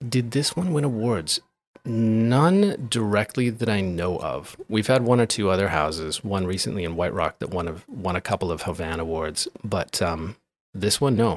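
A man talks at a moderate pace in a normal speaking voice. His fairly low pitch carries lively intonation. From interior British Columbia, Canada (Grand Forks). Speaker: architect. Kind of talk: interview. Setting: in person, Vancouver.

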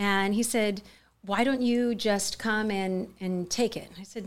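A woman's fairly high voice in a Californian accent, with ordinary pitch variation. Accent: General American, Californian. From US West, Mojave Desert, California. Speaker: charity co-founder and CEO. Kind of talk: interview.

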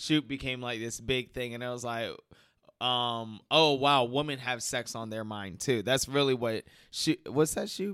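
The voice has a bright, sharp tone, ordinary pitch variation and a fairly slow pace. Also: man, medium pitch for a man, very clean recording, silent background. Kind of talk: casual chat.

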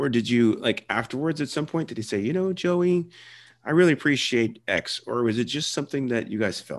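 A man with an ordinary speaking voice talks at a fairly quick pace and fairly high pitch against a quiet background. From Philadelphia area and South Jersey. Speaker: podcast host. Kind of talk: interview.

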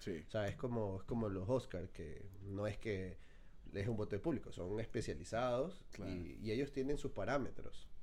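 The tone is dark and mellow, and somewhat breathy. Pitch varies in an ordinary way. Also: man, fairly low pitch for a man, moderate pace. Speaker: podcast co-host. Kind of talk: casual chat.

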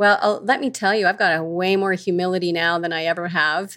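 A woman speaks in a normal speaking voice at a fairly quick pace, her pitch fairly low and her intonation fairly even, on a very clean recording with a silent background. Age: 50s. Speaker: psychedelic therapy trainer and podcast co-host. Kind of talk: casual interview chat.

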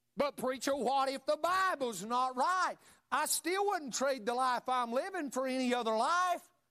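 In a North Carolina accent, a man uses a raised, projected voice with an extremely high pitch, a bright, sharp tone, very even loudness and a moderate pace. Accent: Southern US (North Carolina). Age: 40s. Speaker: pastor. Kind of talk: Wednesday evening Baptist sermon, impassioned personal testimony of faith. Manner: fervent, rising emphatic preaching with repeated punch lines; filler-heavy delivery with frequent uh and stumbles.

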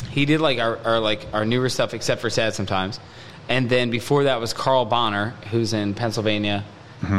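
Noticeable background noise sits under the recording. A man talks at a fairly quick pace with ordinary pitch variation. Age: 30s. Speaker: musician. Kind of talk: casual chat. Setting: studio.

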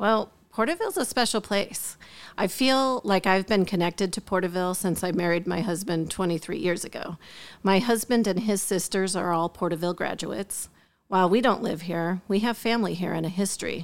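A woman with an American accent speaks in an ordinary speaking voice at medium pitch and a fairly quick pace, with ordinary pitch variation. The recording is very clean, with a silent background. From US Midwest. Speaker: school district administrator. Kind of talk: interview.

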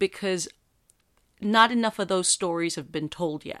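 In an American accent, a woman speaks with lively intonation, the sound dry and close with no echo on a very clean recording with a silent background. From US, Mexican-American household. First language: Spanish. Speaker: podcast host, voice actress. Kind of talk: casual solo monologue.

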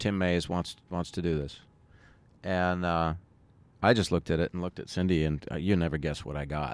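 Recorded very cleanly against a silent background, a man with an American accent and a very deep, low pitch talks at a fairly quick pace in fairly even intonation, broken by long, frequent pauses. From San Diego, California. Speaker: musician. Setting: rooftop outdoors in Brooklyn.

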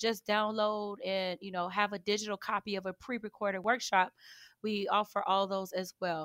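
A woman with a slight Chicago urban accent and a medium pitch speaks at a moderate pace with fairly even intonation, in a very clean, dry, close recording with a silent background and no echo. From Chicago south side, US. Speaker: financial educator. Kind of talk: interview, informative talk.

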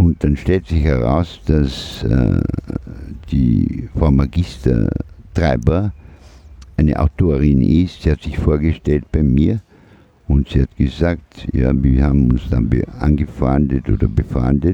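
Over noticeable background noise, the speech moves at a very slow pace with long, frequent pauses and ordinary pitch variation. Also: man. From Austria (Vorarlberg, then Vienna). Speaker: micronation president, art project heir. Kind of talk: interview.

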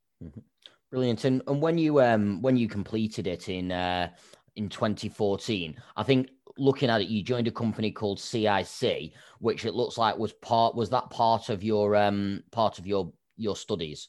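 A man speaks with an English accent at a fairly low pitch. His pace is moderate and his pitch variation ordinary. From England. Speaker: podcast host. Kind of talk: interview.

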